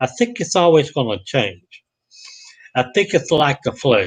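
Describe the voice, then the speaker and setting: A man talks in a Southern US accent at a fairly slow pace. His intonation is lively. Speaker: vlogger. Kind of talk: live stream monologue. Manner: halting.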